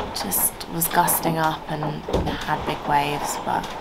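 Loud background noise runs under speech at a very slow pace. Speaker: sailing vlogger. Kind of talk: casual vlog chat.

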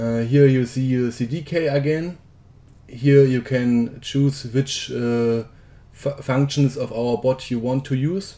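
At a very slow pace, a man at medium pitch with a German accent speaks in a dark, mellow tone with fairly even intonation. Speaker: software developer. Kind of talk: tutorial. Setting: screen recording. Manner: halting.

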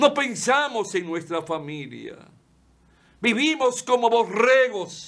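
A man speaks at a very slow pace and a high pitch. His pitch swings very widely. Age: 70s. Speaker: lawyer and TV commentator; lawyer, TV commentator. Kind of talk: opinion monologue. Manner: impassioned. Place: studio.

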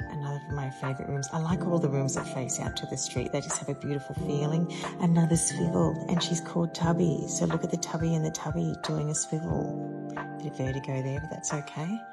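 Over loud background music, a woman speaks with hardly any pauses. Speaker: interior stylist. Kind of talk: casual showroom tour to camera. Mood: playful, cheerful. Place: shop. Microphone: phone near.

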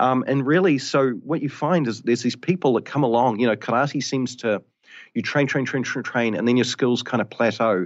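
A man's medium-pitched voice with ordinary pitch variation at a fairly quick pace

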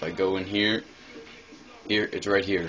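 Light background noise sits under a man speaking at a fairly low pitch. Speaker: gamer. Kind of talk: casual gameplay commentary. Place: home room.

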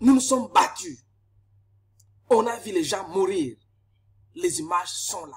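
Speaking very slowly, a man leaves long, frequent pauses. His high pitch swings very widely and his loudness shifts a lot. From DR Congo. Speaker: political commentator, engineer. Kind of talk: political monologue to camera. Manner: impassioned. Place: office. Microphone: webcam.

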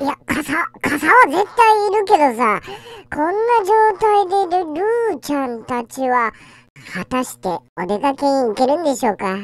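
This put-on character voice sits high in pitch and swings very widely up and down. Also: fairly slow pace. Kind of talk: pet dub comedy. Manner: excited, playful.

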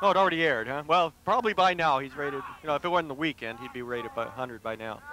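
Very fast and full of lively intonation, a man's voice shows big swings in loudness. The sound is dry with no echo, over light background noise. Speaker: wrestling commentator. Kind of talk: live wrestling commentary, play-by-play with jokes. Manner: excitable, quick reactive exclamations, bantering. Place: stadium. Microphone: headset.

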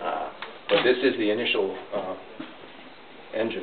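Noticeable background noise surrounds a man as he talks. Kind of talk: interview answer. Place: workshop. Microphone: camera far.

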